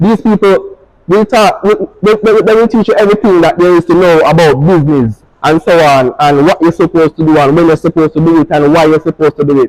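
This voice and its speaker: A man with a Jamaican accent speaks at a fairly quick pace and high pitch, with ordinary pitch variation. The sound is dry and close, with no echo. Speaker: fashion designer and barber. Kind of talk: speech to students.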